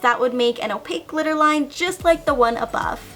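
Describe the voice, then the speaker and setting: A woman speaks in a raised, projected voice with lively intonation at a fairly quick pace. Noticeable background noise is present. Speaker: beauty youtuber. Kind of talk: tutorial. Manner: casual, chatty.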